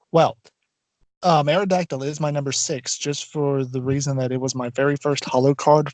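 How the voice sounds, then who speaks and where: A soft-spoken man with a fairly high pitch, at a moderate pace, with fairly even intonation and a dry, close sound with no echo. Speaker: podcast co-host. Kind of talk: casual chat. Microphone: poor audio, drowned out.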